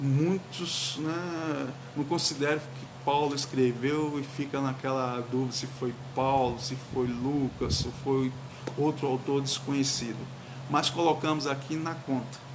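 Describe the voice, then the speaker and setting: A man's fairly high voice comes at a fairly slow pace with monotone, flat intonation. Audible room echo and noticeable background noise fill the recording. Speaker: pastor. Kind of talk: sermon. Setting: livestream.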